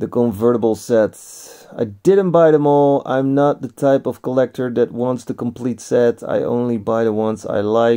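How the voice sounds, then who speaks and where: A man talks at a moderate pace with hardly any pauses, his tone dark and mellow. His pitch varies in an ordinary way against a quiet background. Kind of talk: casual vlog chat. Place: shop. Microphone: phone near.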